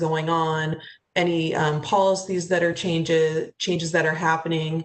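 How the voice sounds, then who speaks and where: Monotone, flat intonation in an American accent. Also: woman. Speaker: city HR director. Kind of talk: presentation at public meeting.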